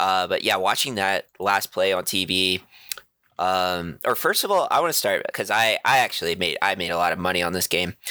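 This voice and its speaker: A man speaks in a very deep, low pitch at a moderate pace. His tone is animated, bright and sharp. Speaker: sports podcast co-host. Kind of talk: casual banter. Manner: casual, profane, animated.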